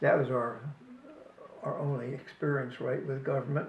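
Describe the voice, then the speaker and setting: In an American accent, a man speaks fairly slowly at a fairly high pitch, with audible room echo. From US Northeast, New Jersey. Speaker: family elder interviewee. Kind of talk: casual chat. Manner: halting.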